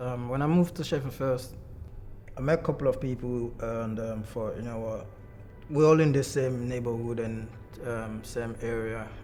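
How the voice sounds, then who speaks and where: Over background music and an audible room echo, a man talks at a moderate pace in a medium pitch with fairly even intonation. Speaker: documentary subject. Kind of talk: personal testimony.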